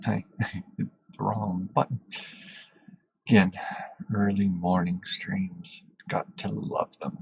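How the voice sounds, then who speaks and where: Very slowly and with long, frequent pauses, a soft-spoken man talks. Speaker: gaming streamer. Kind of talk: gameplay commentary. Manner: halting. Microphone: testing mic for quiet speech.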